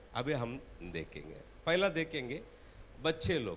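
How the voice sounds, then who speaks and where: A man speaks with a Tamil accent and vocal fry. His pitch swings very widely. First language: Tamil (speaking Hindi). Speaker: preacher. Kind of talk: sermon.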